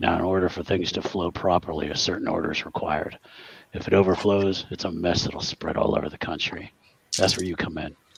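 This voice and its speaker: A man puts on a character voice that is raspy and very deep, using fairly even intonation at a moderate pace. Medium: actual play. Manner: terse, businesslike.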